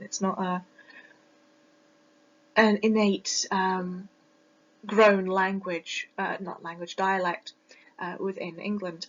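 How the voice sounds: The voice carries a British accent, with little pitch movement. It moves at a slow pace with long, frequent pauses. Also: woman, medium pitch for a woman. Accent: British, Received Pronunciation.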